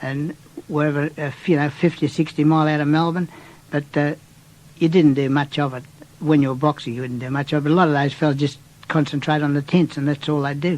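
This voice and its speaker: With an Australian accent, a man with a fairly high pitch speaks at a very fast pace in a monotone, flat intonation. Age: 70s. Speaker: retired boxer. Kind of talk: interview reminiscence. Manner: halting, with many restarts.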